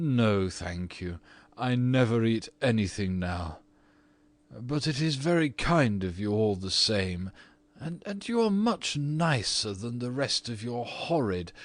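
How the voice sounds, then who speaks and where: In a put-on character voice, a man speaks at a fairly slow pace and medium pitch. The background is quiet. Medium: read story. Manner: petulant.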